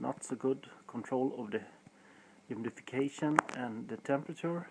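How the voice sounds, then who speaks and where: The man speaks at a medium pitch and a moderate pace. His intonation is lively. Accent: Swedish. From Sweden. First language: Swedish. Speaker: hobbyist sausage maker. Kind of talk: tutorial. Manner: halting.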